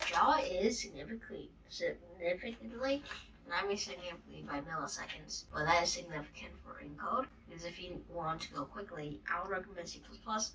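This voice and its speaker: Noticeable background noise sits behind a woman talking at a fairly quick pace. Her loudness swings widely. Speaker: coding tutorial youtuber. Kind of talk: tutorial. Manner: casual, filler-heavy.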